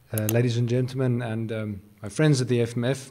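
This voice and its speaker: At a medium pitch, a man speaks in a monotone, flat intonation. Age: 30s. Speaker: business group CEO. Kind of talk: speech. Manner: halting.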